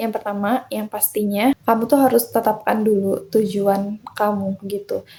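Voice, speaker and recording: A woman's fairly high, somewhat breathy voice with a dark, mellow tone, fairly slow and monotone, with flat intonation and hardly any pauses. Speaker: self-improvement podcaster. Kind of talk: motivational podcast talk. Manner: casual, encouraging.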